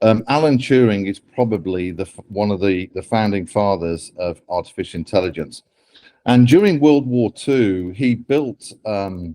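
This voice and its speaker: In a British accent, a dark, mellow voice speaks with lively intonation. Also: man. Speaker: AI ethics author and speaker. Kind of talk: talk to interns.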